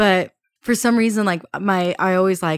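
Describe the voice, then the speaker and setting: A woman with an unremarkable speaking voice talks at a moderate pace, her medium pitch carried by fairly even intonation. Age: 20s. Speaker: podcast host. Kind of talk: casual chat.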